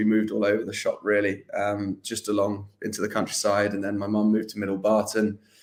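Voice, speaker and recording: In an English accent, a man with a fairly low pitch talks at a fairly quick pace in a monotone, flat delivery, on a very clean recording with a silent background. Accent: English rather than Scottish. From southern England (London, Northamptonshire). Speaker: interview guest. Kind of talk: casual interview. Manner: hesitant, many fillers.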